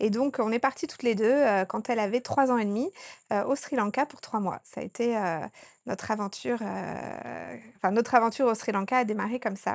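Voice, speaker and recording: Over a quiet background, a woman speaks at a moderate pace. Her pitch sits fairly high with fairly even intonation. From France, Haute-Savoie (Annecy). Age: 30s. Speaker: doula and women's retreat organizer. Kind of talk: interview. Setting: on location in Sri Lanka. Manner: hesitant with fillers.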